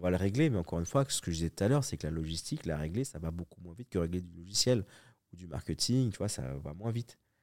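A man with a very deep, low pitch talks very fast, with lively intonation and big swings in loudness. The recording is very clean, with a silent background. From Paris suburbs, Évry. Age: 40s. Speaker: entrepreneur. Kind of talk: casual interview. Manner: halting, many repetitions.

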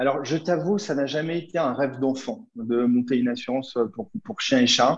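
There is an unremarkable speaking voice from a man at a fairly high pitch. He keeps a moderate pace with hardly any pauses and lively intonation. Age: 30s. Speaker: startup founder. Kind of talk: interview.

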